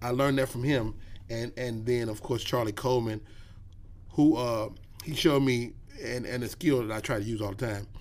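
With audible room echo around him, a man at a medium pitch moves at a fairly quick pace but leaves long, frequent pauses. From Chicago. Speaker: comedian. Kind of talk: casual chat. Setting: studio. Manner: animated.

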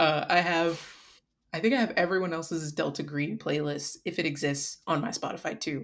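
A woman with an American accent speaks at a moderate pace in a fairly low pitch, with ordinary pitch variation and an unremarkable speaking voice. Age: 20s. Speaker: artist and tabletop roleplay cast member. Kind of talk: casual chat.

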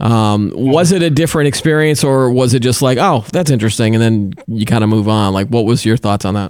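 A man talks at a fairly quick pace with hardly any pauses, in an unremarkable speaking voice of medium pitch. His intonation is lively and his loudness stays very even. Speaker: tech show host. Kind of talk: casual chat.

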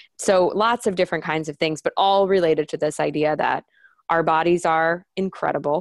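This woman has a normal speaking voice, fairly low in pitch, with ordinary pitch variation. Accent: American. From New York. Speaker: health startup founder and patient advocate. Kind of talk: interview.

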